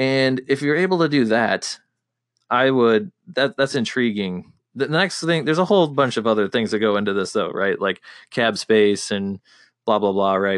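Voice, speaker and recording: A man with a medium pitch and an unremarkable speaking voice uses lively intonation. His loudness stays very even against a quiet background. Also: moderate pace. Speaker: podcast host. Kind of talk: casual chat.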